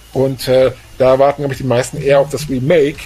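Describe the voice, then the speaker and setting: Here a man speaks with a dark, mellow tone. His medium-pitched voice is somewhat breathy. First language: German. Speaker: podcast co-founder and co-host. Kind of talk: casual chat.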